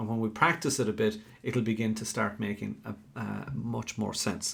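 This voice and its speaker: At a moderate pace, a man speaks with an Irish accent. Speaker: Irish language teacher. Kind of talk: live online tutorial. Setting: live stream.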